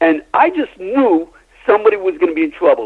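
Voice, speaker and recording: A man's voice swings very widely in pitch over noticeable background noise. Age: 70s. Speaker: crime witness. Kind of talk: interview.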